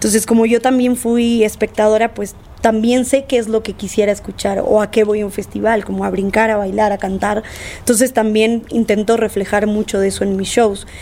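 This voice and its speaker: In a monotone, flat intonation, a woman with a fairly high pitch speaks at a moderate pace. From Argentina. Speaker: DJ and producer. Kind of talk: casual interview.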